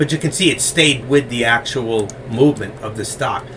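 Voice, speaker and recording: A man with a New York accent speaks at a medium pitch amid noticeable background noise. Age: 60s. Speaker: stock trading educator. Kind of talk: live trading tutorial. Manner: fast.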